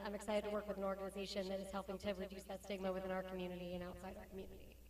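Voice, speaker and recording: A woman speaks very fast at a medium pitch over noticeable background noise. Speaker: academic and firearms expert witness. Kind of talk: panel interview. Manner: animated.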